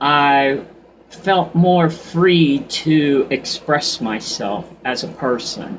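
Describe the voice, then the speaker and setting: Here a man speaks at a very slow pace. His voice is fairly high, with ordinary pitch variation. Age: 60s. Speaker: vlogger. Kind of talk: casual monologue. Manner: unscripted, halting with restarts.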